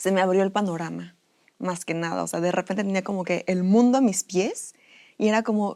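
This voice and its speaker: The voice has a dark, mellow tone and a fairly quick pace. The recording is very clean, with a silent background. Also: woman, medium pitch for a woman, fairly even intonation. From Mexico, Puebla. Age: 20s. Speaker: student. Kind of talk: interview.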